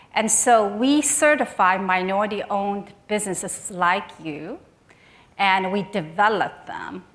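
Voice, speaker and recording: A woman speaks at a fairly slow pace with a Chinese accent. Her loudness swings widely, and the room echo is audible. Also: medium pitch for a woman, ordinary pitch variation. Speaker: nonprofit executive. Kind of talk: conference speech. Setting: stage with audience. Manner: halting.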